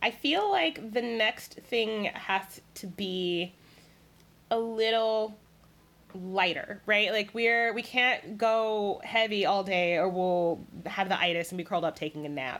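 A woman with an American accent at a very slow pace, with ordinary pitch variation. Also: medium pitch for a woman. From US South, South Carolina. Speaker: food writer. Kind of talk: casual chat.

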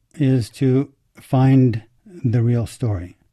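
A man's medium-pitched voice with an American accent and a dark, mellow tone. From United States. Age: 70s. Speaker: amateur Chinese character researcher. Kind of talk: interview.

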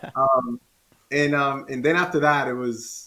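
A man with a Spanish accent. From Dominican Republic. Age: 40s. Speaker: former pro inline skater. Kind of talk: casual interview. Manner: animated.

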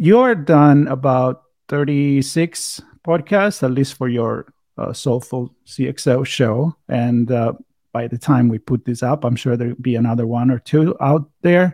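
A man at a fairly slow pace, ordinary pitch variation, dry, close sound with no echo. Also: medium pitch for a man. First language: Italian. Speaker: podcast host. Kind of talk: casual interview. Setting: video call. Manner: hesitant, many filler words.

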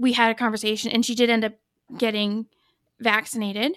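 A woman's plain, everyday voice in an American accent, fairly high-pitched and fairly quick, dry and close with no echo, on a very clean recording with a silent background. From northern US. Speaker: nurse. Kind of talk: casual chat.

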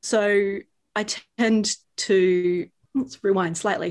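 Pitched in the medium range, a woman speaks with an Australian accent. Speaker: yoga teacher and embodiment coach. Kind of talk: casual chat. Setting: home above a tube station.

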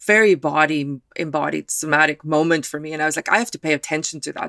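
A woman with a very deep, low pitch speaks at a very fast pace with hardly any pauses and ordinary pitch variation. Her tone is bright and sharp, and the sound is dry and close with no echo. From South Africa, Afrikaner. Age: 40s. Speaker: author. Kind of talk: interview.

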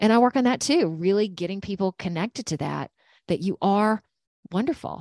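Speaking with an American accent at a fairly quick pace, a woman with an unremarkable speaking voice and medium pitch uses lively intonation on a very clean recording, silent in the background, with a dry, close sound and no echo. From Georgia, US South. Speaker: intuitive energy healer and meditation teacher. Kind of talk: casual interview.

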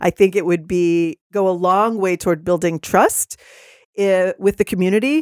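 In an ordinary speaking voice with an American accent, a woman talks at a moderate pace and medium pitch with ordinary pitch variation and very even loudness, on a very clean, dry, close recording with a silent background and no echo. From Texas. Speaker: city council candidate. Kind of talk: interview. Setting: podcast studio.

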